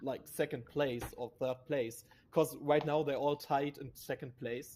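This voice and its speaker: A man with a German accent at a fairly slow pace. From Germany. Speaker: esports analyst. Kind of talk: esports broadcast commentary.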